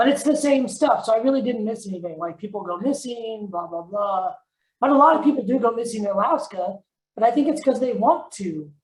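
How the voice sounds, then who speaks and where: Lively intonation from a woman with a North Carolina accent, fairly high in pitch, at a fairly quick pace. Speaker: author. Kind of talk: casual chat. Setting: video call.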